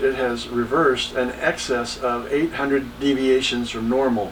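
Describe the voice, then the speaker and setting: With a Texan accent, a man talks at a moderate pace over noticeable background noise. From Texas. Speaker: entrepreneur. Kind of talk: podcast monologue.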